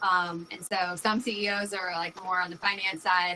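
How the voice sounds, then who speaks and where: With an American accent, a woman talks at a medium pitch. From New York. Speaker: company executive. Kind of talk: interview. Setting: live video stream. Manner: fast.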